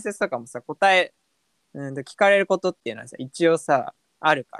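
In a dry, close recording with no echo, a man talks at a moderate pace in a normal speaking voice. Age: 20s. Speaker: podcast co-host, office worker. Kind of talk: casual chat.

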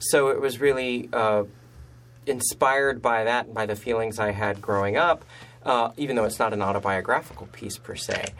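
A normal speaking voice with an American accent, at a moderate pace. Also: man, medium pitch for a man, ordinary pitch variation. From Galveston, Texas. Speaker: playwright. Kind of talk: casual interview chat.

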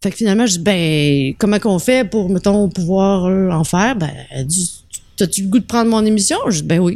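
A woman's medium-pitched voice in a Quebec accent, fairly quick, with ordinary pitch variation. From Quebec, Trois-Rivières. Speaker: restaurant entrepreneur. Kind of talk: casual chat.

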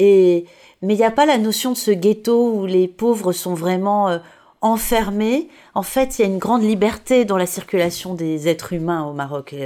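Speaking at a moderate pace, a woman with a medium pitch and a dark, mellow tone uses ordinary pitch variation, recorded very cleanly against a silent background. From French Riviera. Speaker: podcast host. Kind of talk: interview.

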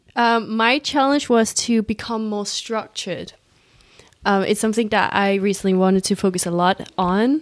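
Moderate pace, ordinary pitch variation and an ordinary speaking voice. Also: woman, medium pitch for a woman. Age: 20s. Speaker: podcast host, social media consultant. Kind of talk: casual chat.

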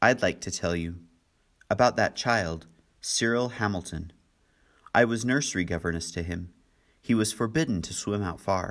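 A man does a shaky put-on character voice, fairly low in pitch with ordinary variation, at a moderate pace broken by long, frequent pauses. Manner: trembling, shaky.

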